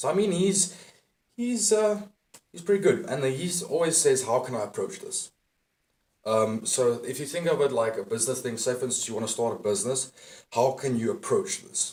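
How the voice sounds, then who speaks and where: With very wide pitch swings, a man speaks at a moderate pace in a fairly high pitch, his voice somewhat breathy. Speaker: dating and self-improvement coach. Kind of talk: motivational talk to camera. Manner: casual, profane.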